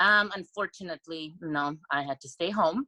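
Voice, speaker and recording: A woman with a non-native accent speaks at a moderate pace in a bright, sharp tone. The sound is dry and close, with no echo. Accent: foreign. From Europe. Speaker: blind date participant. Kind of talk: casual chat. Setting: video call.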